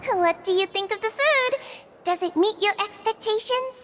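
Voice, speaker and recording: In a put-on character voice, a woman squeaks at an extremely high pitch with a warm tone, ordinary pitch variation and a moderate pace. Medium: video game. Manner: soft, warm and friendly.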